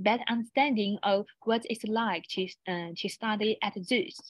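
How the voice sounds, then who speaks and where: Speaking at a fairly slow pace, a woman with a Chinese accent has a fairly high pitch and a somewhat breathy voice. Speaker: university international office presenter. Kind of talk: online seminar presentation. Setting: online webinar. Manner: halting, many restarts.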